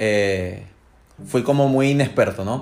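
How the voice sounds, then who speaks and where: With medium pitch and ordinary pitch variation, a man's voice cuts through noticeable background noise. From Venezuela, Maracaibo. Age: 30s. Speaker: tattoo client, raffle winner. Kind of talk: casual interview.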